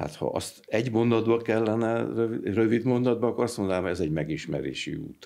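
Over a quiet background, a man with a dark, mellow tone and vocal fry speaks at a fairly quick pace with lively intonation. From Hungary. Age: 70s. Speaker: retired mechanical engineer, anthroposophy society representative; interview guest. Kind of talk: interview. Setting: studio. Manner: halting, with fillers and repetitions. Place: studio. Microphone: studio mic.

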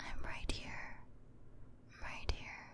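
Someone whispers at a very slow pace. The tone is soothing. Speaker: voice actor performing a comforting character. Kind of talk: roleplay audio drama, soothing comfort talk. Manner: soft, soothing close-up ASMR voice.

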